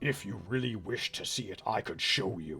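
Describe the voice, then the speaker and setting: This is a put-on character voice. It has a growling quality. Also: man. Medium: actual play. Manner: soft, coaxing.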